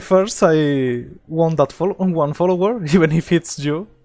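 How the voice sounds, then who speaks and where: A woman talks at a very slow pace with a fairly low pitch. She has a slight non-native accent. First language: not English. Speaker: game streamer. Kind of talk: live gameplay stream chat. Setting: home office. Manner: hesitant, many fillers.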